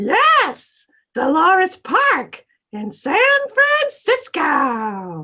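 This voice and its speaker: A woman puts on a character voice at an extremely high pitch. She speaks at a very slow pace. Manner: excited, bubbly.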